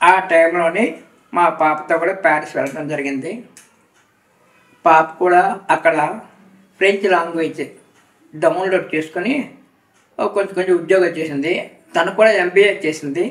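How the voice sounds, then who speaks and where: Here a man speaks with a high pitch. His intonation stays fairly even. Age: 70s. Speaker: retired factory manager, devotee. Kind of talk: interview testimony.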